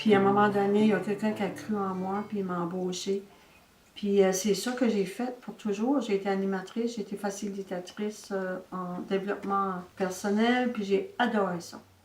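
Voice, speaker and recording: Over noticeable background noise, a woman speaks in a monotone, flat intonation with big swings in loudness. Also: medium pitch for a woman, moderate pace. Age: 70s. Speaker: senior wellness ambassador, personal development facilitator. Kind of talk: testimony. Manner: casual, conversational with frequent fillers.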